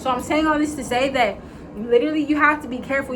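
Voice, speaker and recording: Amid audible room echo and noticeable background noise, a woman talks at a very fast pace, her intonation fairly even. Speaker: faith vlogger. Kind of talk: casual vlog monologue. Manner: rambling, filler-heavy.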